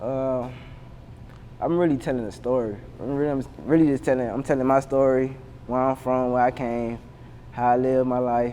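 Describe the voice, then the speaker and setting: The voice has monotone, flat intonation and long, frequent pauses. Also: man, medium pitch for a man, moderate pace. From US South, Savannah, Georgia. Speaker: rapper. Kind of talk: casual interview. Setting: sit-down interview. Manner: halting, repetitive.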